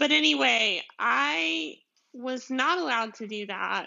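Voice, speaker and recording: A woman's fairly high-pitched voice in a strong Southern US accent. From deep south Georgia, US. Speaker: podcast host, commercial photographer. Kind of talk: casual solo podcast monologue. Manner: chatty, laughing, rambling.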